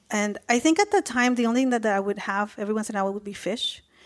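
Fairly high-pitched with ordinary pitch variation, this woman has a normal speaking voice. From Mexico, raised in the US. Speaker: food company co-founder. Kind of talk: interview.

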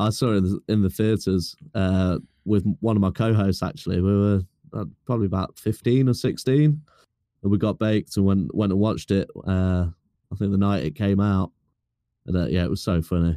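In a very clean recording with a silent background and a dry, close sound with no echo, a man with a British accent speaks at a fairly quick pace, his fairly low, dark, mellow voice holding very even loudness and ordinary pitch variation. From UK. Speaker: fellow podcaster. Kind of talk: casual chat.

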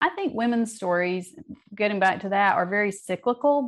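In a normal speaking voice, a woman with an American accent talks at a medium pitch with lively intonation. The background is quiet. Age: 50s. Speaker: novelist. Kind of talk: interview.

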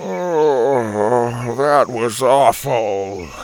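This put-on character voice sits at a low-to-middle pitch. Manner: groaning.

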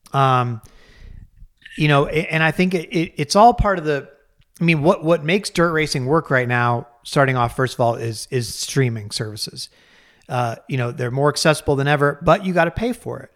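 Using an unremarkable speaking voice, a man with an American accent speaks at a moderate pace and fairly high pitch, his intonation lively, in a very clean recording with a silent background. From Colorado. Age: 40s. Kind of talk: casual chat.

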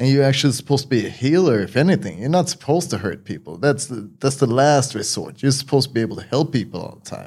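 This voice has vocal fry and lively intonation at a very fast pace, with big swings in loudness. The recording is very clean with a silent background. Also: man, medium pitch for a man. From Sweden. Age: 40s. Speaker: martial arts teacher. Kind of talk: casual interview.

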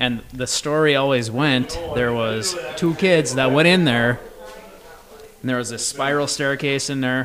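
With audible room echo and noticeable background noise, a man speaks at a fairly slow pace and medium pitch with ordinary pitch variation. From Massachusetts. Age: 30s. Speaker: musician. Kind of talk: casual chat. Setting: in person.

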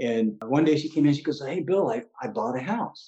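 In an American accent, a man with a fairly high pitch and a dark, mellow tone swings his pitch very widely at a moderate pace, with vocal fry. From US West Coast (San Diego, California). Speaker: housing market blogger. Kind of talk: interview.

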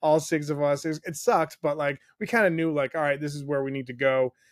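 A man with an ordinary speaking voice and a fairly high pitch talks at a fairly quick pace. His intonation is fairly even, and the recording is very clean with a silent background. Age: 40s. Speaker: podcast host and former radio host. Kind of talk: casual chat.

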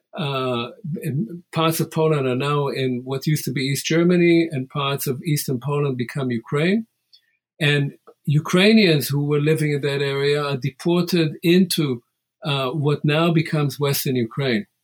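A man speaks with a fairly high pitch and a somewhat breathy sound. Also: ordinary pitch variation, moderate pace. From Israel. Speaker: history professor. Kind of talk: interview.

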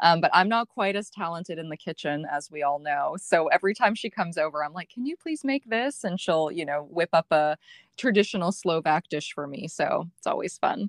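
A woman with an unremarkable speaking voice, fairly low in pitch, talks at a fairly quick pace with hardly any pauses. The sound is dry and close with no echo, against a quiet background. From Canada. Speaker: blogger and online group founder. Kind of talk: casual interview chat.

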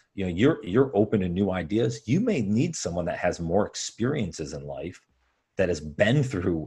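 A man speaks at a moderate pace, his voice somewhat breathy. The background is quiet. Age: 30s. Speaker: podcaster in sales. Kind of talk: casual chat.

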